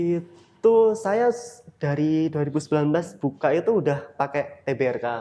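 At a very slow pace, a man with an East Javanese accent speaks at a fairly high pitch with a dark, mellow tone. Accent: East Javanese Indonesian. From Blitar, East Java, Indonesia. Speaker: coffee shop owner. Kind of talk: casual interview chat. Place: cafe.

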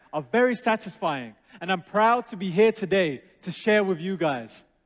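Quiet surroundings and a man's fairly slow delivery. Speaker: presenter. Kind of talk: presentation. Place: stage. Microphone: headset.

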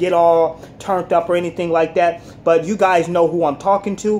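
A man's high-pitched, monotone voice with flat intonation, over light background noise. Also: moderate pace. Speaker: commentary vlogger. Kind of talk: casual vlog commentary. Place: home room. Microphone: phone near.

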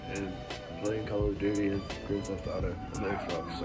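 A man is speaking. Clear music can be heard in the background. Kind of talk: casual vlog chat. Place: home room. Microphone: phone near.

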